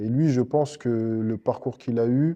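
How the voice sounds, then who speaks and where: A man's dark, mellow tone at a medium pitch, ordinary pitch variation and a quiet background. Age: 30s. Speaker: MMA fighter. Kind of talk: interview. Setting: MMA club dojo. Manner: hesitant, many fillers.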